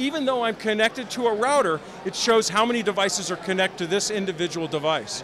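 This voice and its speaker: A man with an American accent talks at a fairly quick pace and a high pitch. Noticeable background noise is present. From Chicago. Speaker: company representative at trade show. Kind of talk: product demo. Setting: trade show floor. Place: hall. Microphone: handheld.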